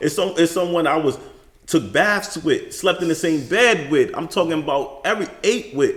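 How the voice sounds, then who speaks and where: A man talks with a New York accent. His pitch is high. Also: ordinary pitch variation, moderate pace. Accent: New York City. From Bronx, New York. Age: 30s. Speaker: podcast guest, father. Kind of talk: casual interview chat.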